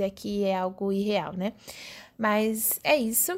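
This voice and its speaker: A woman's medium-pitched voice comes through on a very clean recording with a silent background. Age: 20s. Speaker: podcaster and media student. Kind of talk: casual monologue. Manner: hesitant, with fillers.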